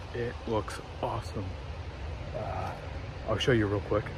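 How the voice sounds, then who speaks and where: A quiet man at medium pitch talks at a moderate pace over noticeable background noise. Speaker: hunting vlogger. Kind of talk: casual vlog narration. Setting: outdoors.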